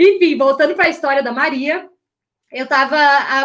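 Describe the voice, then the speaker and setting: A woman talks loudly at a fairly quick pace. Her voice is high-pitched with ordinary pitch variation. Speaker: image and style coach. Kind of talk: live online class. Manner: loud, uneven volume; animated.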